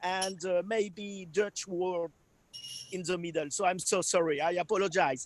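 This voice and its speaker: A man speaks with a French accent, his voice high-pitched. His intonation stays fairly even at a fairly slow pace. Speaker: wine producer. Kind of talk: product presentation. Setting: video call. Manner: halting.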